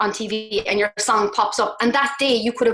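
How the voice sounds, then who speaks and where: Woman in a Cork accent, fairly high-pitched, at a moderate pace with ordinary pitch variation. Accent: Cork Irish. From Cork, Ireland. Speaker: singer-songwriter. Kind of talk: podcast interview answer. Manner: casual, chatty.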